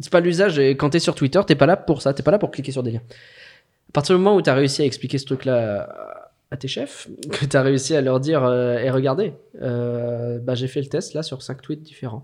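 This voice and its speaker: Speaking at a fairly quick pace, a man has a plain, everyday voice with a fairly high pitch. He uses ordinary pitch variation on a very clean recording with a silent background. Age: 30s. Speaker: social media manager. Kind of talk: casual interview conversation.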